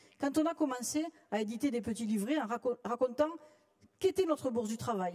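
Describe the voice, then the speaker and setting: A woman speaks at a high pitch with a dry, close sound and no echo. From southern France, Toulouse. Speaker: trade union delegate. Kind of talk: congress floor speech.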